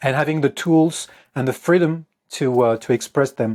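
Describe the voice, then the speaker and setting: A man with a French accent and a fairly high pitch speaks at a moderate pace in fairly even intonation, recorded very cleanly over a silent background. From France. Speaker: guitarist and composer. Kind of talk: interview. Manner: halting.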